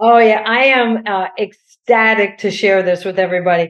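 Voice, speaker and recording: A woman talks at a fairly slow pace in an ordinary speaking voice, her medium pitch showing ordinary variation. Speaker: golf coach. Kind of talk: interview.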